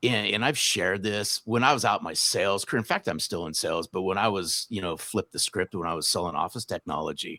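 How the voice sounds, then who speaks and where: In a very clean recording with a silent background and a dry, close sound with no echo, a man with an American accent speaks at a fairly low pitch. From US West Coast, Southern California. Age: 60s. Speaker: sales author and speaker. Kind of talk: podcast interview.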